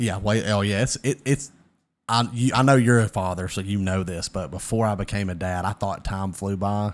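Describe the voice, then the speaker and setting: In a Southern US accent, a man with a fairly low pitch and ordinary pitch variation talks at a moderate pace on a very clean recording with a silent background. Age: 20s. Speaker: podcaster. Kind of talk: casual chat.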